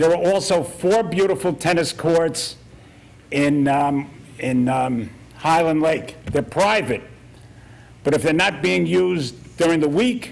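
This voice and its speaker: There is audible room echo as a man talks with a fairly high pitch. His pace is moderate, with ordinary pitch variation. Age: 70s. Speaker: military veteran speaking at public comment. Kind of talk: public comment at town council meeting. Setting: council meeting room. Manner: halting.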